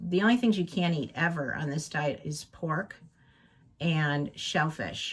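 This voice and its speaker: The voice is somewhat breathy, with ordinary pitch variation. The pace is fairly slow. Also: woman, very deep, low pitch for a woman. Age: 60s. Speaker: craft channel vlogger. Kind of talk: casual chat. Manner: hesitant, many fillers.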